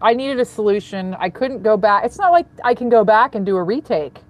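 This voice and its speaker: Ordinary pitch variation runs through speech delivered fairly quickly. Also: woman. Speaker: rideshare driver and karaoke video creator. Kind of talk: casual chat. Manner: loud.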